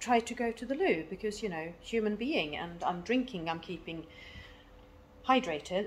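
Light background noise sits under a woman speaking at a moderate pace with lively intonation. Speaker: parent vlogger. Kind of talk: casual vlog chat. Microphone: phone near.

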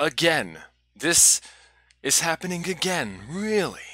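A man speaks very slowly in a bright, sharp tone, with a dry, echo-free sound over a quiet background. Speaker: vlogger. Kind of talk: casual vlog chat. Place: home room. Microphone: headset.

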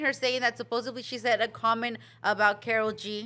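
A woman is speaking. Her voice is raised and projected. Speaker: podcast co-host. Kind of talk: casual chat. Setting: studio. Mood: playful, gossipy. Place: studio. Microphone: studio mic.

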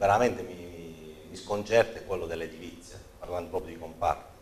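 A man's very deep, low voice, somewhat breathy, with fairly even intonation over light background noise. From Apulia. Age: 40s. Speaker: local politician and accountant; guest. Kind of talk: political interview. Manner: halting, many repetitions and fillers. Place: studio. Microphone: lapel.

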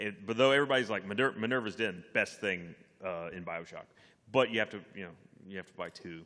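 Man with a fairly low pitch and bright, sharp tone, fairly quick pace, ordinary pitch variation, big swings in loudness, quiet background. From Texas. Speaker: gaming web show panelist; panelist. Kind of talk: live convention panel chat. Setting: stage with audience. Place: hall. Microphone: podium.

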